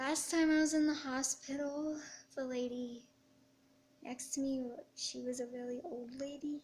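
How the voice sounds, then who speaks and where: A high-pitched woman's voice, flat and monotone, with long, frequent pauses. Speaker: artist with chronic illness. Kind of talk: testimony. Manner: halting.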